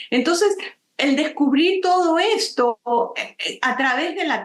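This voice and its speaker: A woman talks with ordinary pitch variation. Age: 60s. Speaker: nature photographer and author. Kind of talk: interview.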